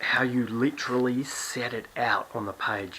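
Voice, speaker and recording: A quiet male voice at medium pitch, moderate pace, with noticeable background noise. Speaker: songwriting teacher. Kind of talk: tutorial. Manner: quiet, hushed; casual, with fillers and restarts.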